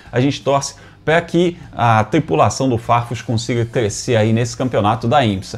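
Somewhat breathy, lively intonation from a man at a moderate pace. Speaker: motorsport news host. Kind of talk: commentary. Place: home room. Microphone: lapel.

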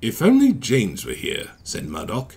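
The clip is plain reading aloud. Nothing else is noted.

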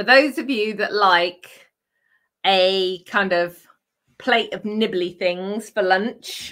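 The speaker talks at a very slow pace with a British accent. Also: woman, medium pitch for a woman, ordinary pitch variation, quiet background. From UK. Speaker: craft channel host. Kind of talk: casual chat with crafting demo. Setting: live stream from home craft room. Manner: chatty, with frequent laughs. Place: home room.

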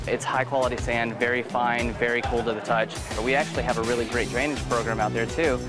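Talking at a very fast pace, a man is heard with clear music in the background. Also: dry sound with no echo. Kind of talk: interview answer. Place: garden. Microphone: lapel.

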